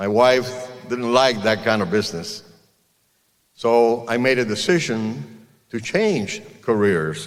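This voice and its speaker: Speaking with a Spanish accent, a man talks at a very slow pace, with long, frequent pauses and ordinary pitch variation. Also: medium pitch for a man. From Cuba. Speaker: car dealer. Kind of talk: commencement speech.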